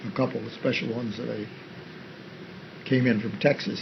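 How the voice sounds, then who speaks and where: At a fairly quick pace, a man speaks over noticeable background noise. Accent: Western New York. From Western New York. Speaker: army veteran and farmer. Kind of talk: interview answer.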